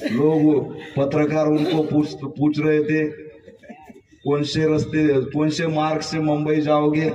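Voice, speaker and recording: Amid noticeable background noise and audible room echo, a man with a fairly high pitch speaks in a monotone, flat way. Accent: Marathi. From rural Maharashtra, India. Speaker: comedian. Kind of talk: stand-up.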